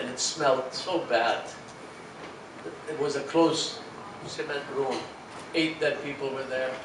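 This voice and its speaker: A man with an American accent speaks at a moderate pace with fairly even intonation. Audible room echo and noticeable background noise fill the recording. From Philippines. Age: old. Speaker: grandfather of a beauty queen. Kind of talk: speech at an event. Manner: sentimental.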